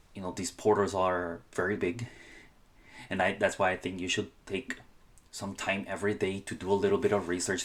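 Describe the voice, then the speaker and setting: A man speaks with a Spanish accent at a fairly low pitch. His pace is moderate. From Honduras. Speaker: student and scholarship advice creator. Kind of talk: casual podcast-style talk. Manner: halting, many fillers and restarts.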